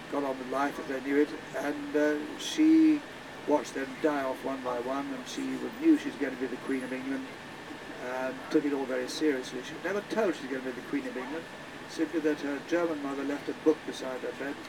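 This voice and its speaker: A male speaker keeps a fairly quick pace while noticeable background noise plays underneath. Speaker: tour guide. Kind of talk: storytelling commentary.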